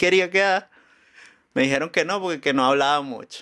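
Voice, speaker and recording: This man talks at a fairly quick pace in a bright, sharp tone with ordinary pitch variation. The recording is very clean, with a silent background. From Venezuela, Caracas. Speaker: musician and comedian. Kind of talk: casual chat.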